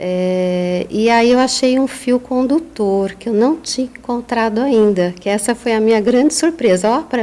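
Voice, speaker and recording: With lively intonation, an unremarkable speaking voice unfolds at a fairly slow pace. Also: woman. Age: 50s. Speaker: psychologist and author. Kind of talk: podcast interview.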